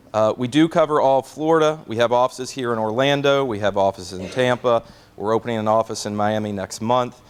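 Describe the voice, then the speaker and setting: In a Kentucky accent, a man talks at a very fast pace. His medium pitch shows ordinary variation. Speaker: court reporting company representative. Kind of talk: sales presentation. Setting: seminar with audience. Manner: casual, joking, many filler words; quick.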